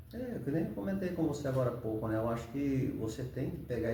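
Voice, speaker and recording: Talking at a very fast pace with lively intonation, a man with a medium-pitched voice is heard over noticeable background noise and audible room echo. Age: 60s. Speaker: ultramarathon runner, retired professor. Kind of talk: interview.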